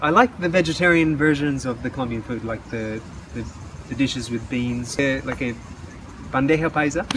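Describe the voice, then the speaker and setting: A man with an Australian accent speaks at a fairly high pitch with ordinary pitch variation. Noticeable background noise runs underneath. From Western Australia. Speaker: English teacher and traveler. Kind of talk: interview. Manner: halting.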